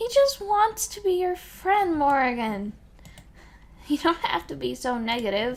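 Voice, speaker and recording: A woman talks at a fairly slow pace in a high pitch. Her pitch swings very widely, and her loudness shifts a lot. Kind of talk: casual let's play commentary.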